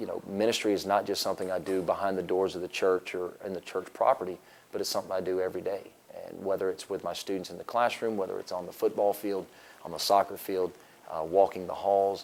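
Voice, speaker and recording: A man with an American accent, fairly low in pitch, at a very fast pace in a monotone, flat intonation. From US South (Florida panhandle). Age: 30s. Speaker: teacher and football coach. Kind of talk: interview.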